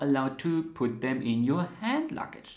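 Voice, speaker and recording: Speaking at a fairly slow pace, the voice carries audible room echo over a quiet background. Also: man. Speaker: knitting channel host. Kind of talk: explainer to camera. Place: home room.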